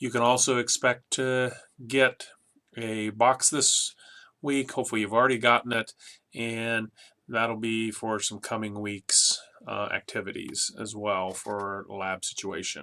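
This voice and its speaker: A man speaks with a bright, sharp tone at a medium pitch. His pace is fairly slow and his intonation fairly even. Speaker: college instructor. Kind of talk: online lecture. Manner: casual, with filler words.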